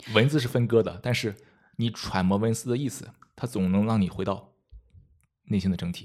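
A man's fairly low voice at a fairly quick pace, with ordinary pitch variation and long, frequent pauses. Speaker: meditation course designer and guide. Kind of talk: casual interview chat.

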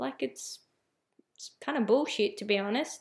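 Hers is an unremarkable speaking voice, pitched fairly high. This woman uses ordinary pitch variation. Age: 20s. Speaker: podcast host, mindset and spirituality coach. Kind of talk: solo podcast monologue. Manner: casual, with frequent fillers and restarts.

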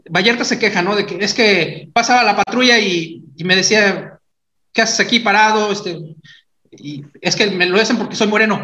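Raised and projected, a man's high, bright, sharp voice moves at a moderate pace with fairly even intonation. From Mexico, San Luis Potosí and Mexico City. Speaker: podcast host. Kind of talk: casual chat.

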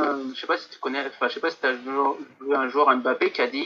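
A fairly slow-paced male speaker. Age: 30s. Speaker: football statistics social media account owner. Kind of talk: interview.

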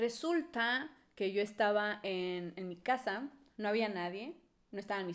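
A woman's normal speaking voice, medium in pitch, fairly slow in pace, with ordinary pitch variation. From Mexico, Monterrey. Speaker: podcast co-host. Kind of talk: casual chat.

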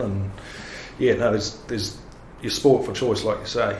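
In a New Zealand accent, a man speaks at a medium pitch with fairly even intonation, and audible room echo can be heard. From New Zealand, Palmerston North. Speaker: lawyer. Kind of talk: casual interview.

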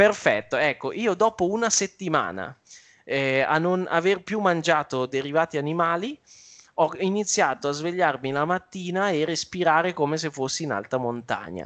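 A moderately paced, high-pitched male voice with ordinary pitch variation. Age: 30s. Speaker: trader and youtuber. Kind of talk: interview.

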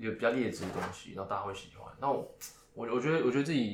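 A man's very fast, somewhat breathy speech with audible room echo. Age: 20s. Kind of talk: casual chat. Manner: halting, many fillers.

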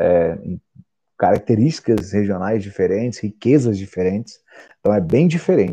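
A man's fairly low, dark, mellow voice with lively intonation at a moderate pace. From Brazil, Mato Grosso do Sul. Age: 30s. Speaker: science YouTuber. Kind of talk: solo vlog monologue. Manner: halting, many fillers.

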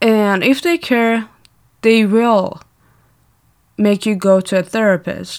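On a very clean recording with a silent background, a woman with a non-native accent speaks at a very slow pace in a fairly high voice, pausing long and often. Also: ordinary pitch variation. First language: not English. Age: 20s. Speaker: podcaster. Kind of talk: casual monologue. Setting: home recording. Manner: animated.

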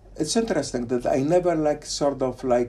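A man with a Polish accent speaks in a dark, mellow tone. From Poland, Poznan. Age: 60s. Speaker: theoretical physicist. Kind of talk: casual interview. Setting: on location in Fraserburgh, Scotland. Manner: halting, with fillers.

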